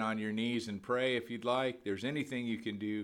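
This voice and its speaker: At a moderate pace, a man talks in a plain, everyday voice of medium pitch with fairly even intonation. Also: very clean recording, silent background. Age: 50s. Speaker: podcast preacher. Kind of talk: sermon. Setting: at home by a window. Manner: casual, filler-heavy.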